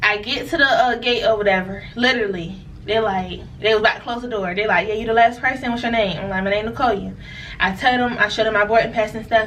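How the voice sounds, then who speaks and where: A woman with a fairly high pitch and ordinary pitch variation speaks at a fairly quick pace, with noticeable background noise and audible room echo. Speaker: merchant seaman vlogger. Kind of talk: storytime monologue. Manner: casual, animated.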